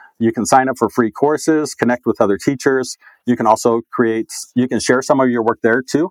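In a dry, close sound with no echo, a man uses a normal speaking voice with ordinary pitch variation. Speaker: school digital learning coach. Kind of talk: casual interview chat.

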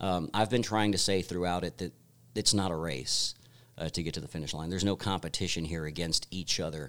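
Very clean recording and silent background, with a man's very deep, low-pitched voice. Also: ordinary pitch variation, fairly quick pace. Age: 40s. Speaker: country singer-songwriter and producer. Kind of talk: interview. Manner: hesitant, many fillers.

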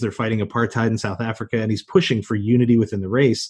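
The voice is somewhat breathy and the pace very fast. The background is quiet. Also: man. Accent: American. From US territory. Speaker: teacher. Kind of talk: interview.

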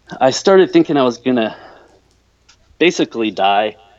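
A man speaks at a medium pitch, keeping a moderate pace. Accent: American. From US South, North Mississippi. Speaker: caller in addiction recovery. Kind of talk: personal testimony in casual chat. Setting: phone call.

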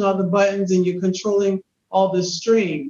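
A woman talks at a moderate pace and medium pitch. She has an unremarkable speaking voice. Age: 50s. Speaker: podcast host. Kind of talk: interview.

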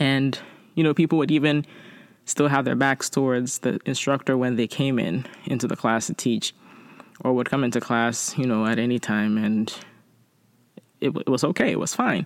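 A woman's very deep, low voice at a moderate pace, with long, frequent pauses, ordinary pitch variation, very even loudness, and a dry, close sound with no echo. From immigrant from abroad. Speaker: podcast host. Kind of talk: casual monologue with letter reading.

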